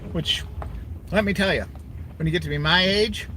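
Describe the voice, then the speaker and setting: A man talks fairly quickly in a space with audible room echo and noticeable background noise. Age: 60s. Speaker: livestreamer. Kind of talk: casual chat. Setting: in a car.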